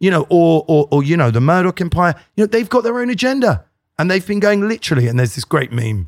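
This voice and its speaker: Speaking at a very fast pace with a British accent, a man makes very wide pitch swings on a very clean, dry, close recording with a silent background and no echo. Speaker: satirist and podcaster. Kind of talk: casual chat interview.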